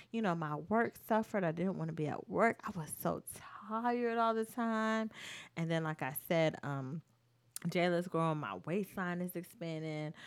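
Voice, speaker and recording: A woman's fairly low voice, an ordinary speaking voice, with lively intonation and a moderate pace, on a very clean recording with a silent background. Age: 20s. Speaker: dance choreographer. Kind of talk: casual chat.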